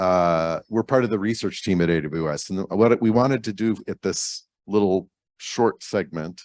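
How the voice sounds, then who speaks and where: A man speaks at a moderate pace with a very deep, low pitch. The recording is very clean with a silent background, dry and close with no echo. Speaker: cloud company research team member. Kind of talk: conference lightning talk. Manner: casual, conversational.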